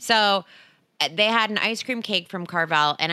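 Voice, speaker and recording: A woman with an American accent speaks in a bright, sharp tone with ordinary pitch variation. The recording is very clean, with a silent background. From US Northeast. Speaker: podcast host. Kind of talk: casual chat.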